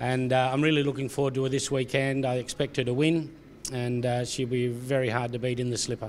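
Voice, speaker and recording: Flat, monotone intonation in an Australian accent. The pace is fairly quick. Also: man. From South Australia. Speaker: racehorse trainer. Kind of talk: interview answer.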